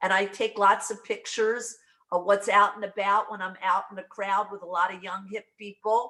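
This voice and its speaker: A woman speaks at a moderate pace. Her tone is bright and sharp. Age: 60s. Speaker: brand partner in direct sales. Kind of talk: casual video call chat.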